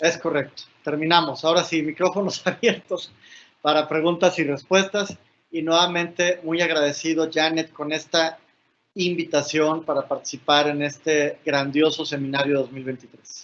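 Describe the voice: At a moderate pace, a man with a fairly high pitch and fairly bright tone speaks with little pitch movement.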